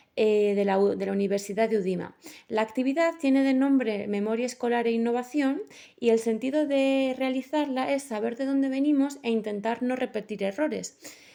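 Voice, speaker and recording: High pitch from a woman, moderate pace, ordinary pitch variation. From Basque Country, Bilbao. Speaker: master's student interviewer. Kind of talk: student interview. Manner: halting.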